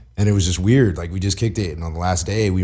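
A man with an American accent speaks in a very deep, low pitch with ordinary pitch variation. His tone is dark and mellow, and somewhat breathy. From Southern California, Long Beach. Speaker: filmmaker. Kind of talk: casual chat. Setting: studio. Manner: animated.

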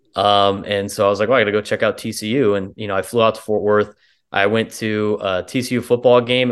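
In a normal speaking voice with an American accent, the speaker moves at a fairly quick pace with ordinary pitch variation. The background is quiet. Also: man. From San Diego, California. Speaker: baseball play-by-play announcer. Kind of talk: casual chat.

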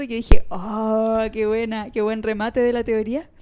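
A woman's fairly high-pitched voice carries a dark, mellow tone. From Chile. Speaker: podcast co-host. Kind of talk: casual chat.

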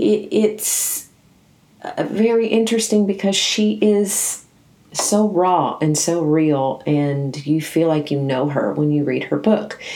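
With a Southern US accent, a woman speaks very slowly in a fairly low voice, using lively intonation at very even loudness. Noticeable background noise sits behind her. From US South, Nashville, Tennessee. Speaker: podcast host. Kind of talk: book review monologue.

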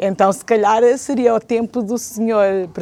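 A woman speaks at a fairly high pitch with a dark, mellow tone. Her pace is fairly slow, and the sound is dry and close with no echo. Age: 60s. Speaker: retired teacher and civic association member. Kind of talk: TV/radio talk show interview.

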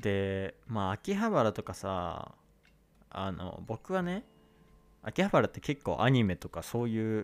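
On a very clean recording that sounds dry and close, with no echo and a silent background, a man with an unremarkable speaking voice talks at a fairly slow pace and fairly low pitch. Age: 20s. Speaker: podcast host, university student. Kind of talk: casual solo monologue. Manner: casual, many filler words.

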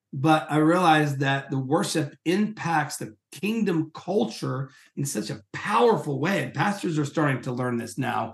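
Barely pausing, a man with a fairly high pitch talks at a fairly slow pace in a somewhat breathy voice. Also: lively intonation. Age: 50s. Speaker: worship leader and professor. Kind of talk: interview.

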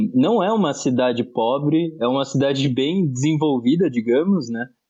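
A man's fairly high voice, a plain, everyday voice, fairly slow, with ordinary pitch variation. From Brazil, Osasco (São Paulo area). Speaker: podcast co-host. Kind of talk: casual political discussion.

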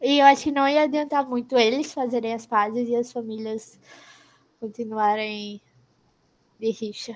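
With long, frequent pauses, a woman speaks in fairly even intonation. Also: fairly high pitch for a woman, moderate pace. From Brazil. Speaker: podcast co-host, university student. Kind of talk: casual chat.

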